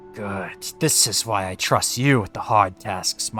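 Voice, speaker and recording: Over clear music in the background, a man performs a put-on character voice, booming at a fairly low pitch and a fairly slow pace. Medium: actual play. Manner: commanding.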